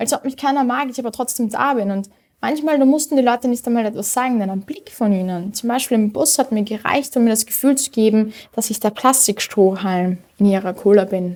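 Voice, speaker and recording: A woman with an ordinary speaking voice and a fairly high pitch talks at a fairly quick pace, with ordinary pitch variation. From Austria, Vienna (Simmering). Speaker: poetry slammer. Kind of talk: poetry slam performance.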